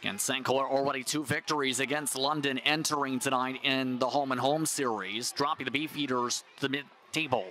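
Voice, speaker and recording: A man speaks at a medium pitch with very even loudness and fairly even intonation. The sound is dry with no echo, over light background noise. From Canada. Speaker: play-by-play announcer. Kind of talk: live sports play-by-play commentary.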